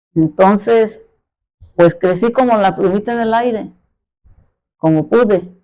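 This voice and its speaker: A woman talks in a dark, mellow tone. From Mexico City. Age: 70s. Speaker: catechist. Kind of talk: testimony.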